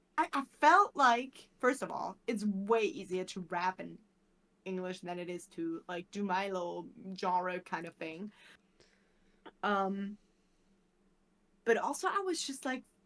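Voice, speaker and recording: A woman with a German accent and medium pitch talks at a fairly slow pace in an animated tone with lively intonation, long, frequent pauses and big swings in loudness. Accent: German accent, moderate. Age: 20s. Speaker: speedrun commentator and streamer. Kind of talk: casual chat.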